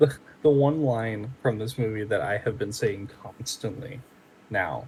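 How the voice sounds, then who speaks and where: A somewhat breathy voice with an American accent, at a fairly slow pace and with ordinary pitch variation. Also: man, medium pitch for a man. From US South, New Orleans, Louisiana. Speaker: podcast co-host. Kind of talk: casual chat.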